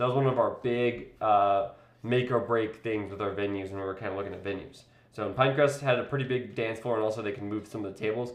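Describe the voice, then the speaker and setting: Talking at a very fast pace, a man uses a medium pitch and fairly even intonation, with audible room echo. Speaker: wedding videographer and vlogger. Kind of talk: live stream tutorial. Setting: live stream. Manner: casual, filler-heavy.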